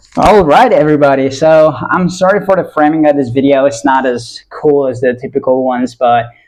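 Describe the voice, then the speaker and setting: In an American accent, a man speaks at a fairly quick pace with a medium pitch. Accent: American-sounding. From Italy. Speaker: copywriter vlogger. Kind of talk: casual vlog monologue. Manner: halting, many fillers.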